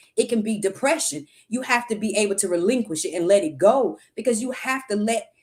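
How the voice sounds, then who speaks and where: Her pitch fairly high and her voice somewhat breathy, a woman talks at a fairly quick pace with lively intonation. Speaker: livestream talk show host. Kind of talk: motivational talk. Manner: animated.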